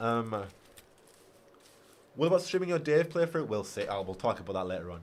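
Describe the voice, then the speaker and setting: A man with a British accent. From Britain. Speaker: gaming YouTuber. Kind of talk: livestream chat reading viewer comments.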